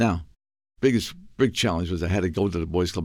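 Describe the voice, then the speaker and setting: In a very clean recording with a silent background, a man with an American accent speaks at a very deep, low pitch with vocal fry and very wide pitch swings. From New York, South Bronx. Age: 80s+. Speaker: med tech entrepreneur. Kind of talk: interview.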